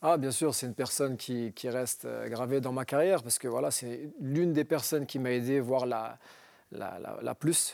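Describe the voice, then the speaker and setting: At a moderate pace, a man talks in a normal speaking voice of medium pitch with ordinary pitch variation. The recording is very clean, with a silent background. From northern France, Roubaix. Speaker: former pro footballer. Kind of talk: TV interview. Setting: TV studio.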